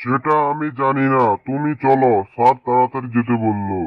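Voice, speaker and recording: A man's cartoonish character voice at medium pitch and moderate pace. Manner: brusque, hurried.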